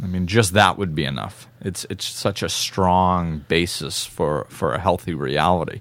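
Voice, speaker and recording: Here a man with an American accent speaks at a very deep, low pitch with vocal fry and ordinary pitch variation. His pace is fairly slow, with hardly any pauses. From New England (northern Massachusetts). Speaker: podcast host. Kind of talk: casual chat.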